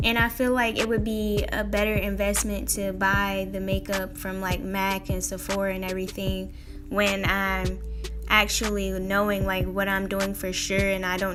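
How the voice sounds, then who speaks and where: Music runs in the background. Over it, a woman talks at a moderate pace. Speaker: beauty vlogger, makeup beginner. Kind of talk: casual makeup tutorial talk to camera.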